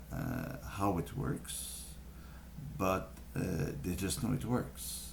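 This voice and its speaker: Amid audible room echo, a man with a very deep, low voice speaks at a very slow pace with very wide pitch swings. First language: French. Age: young. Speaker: vlogger sharing health tips. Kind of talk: casual talk to camera. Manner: halting, many fillers.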